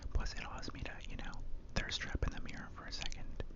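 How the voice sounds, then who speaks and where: Noticeable background noise surrounds someone whispering. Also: man. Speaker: ASMR creator. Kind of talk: ASMR roleplay, personal attention. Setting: outdoors. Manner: whispered.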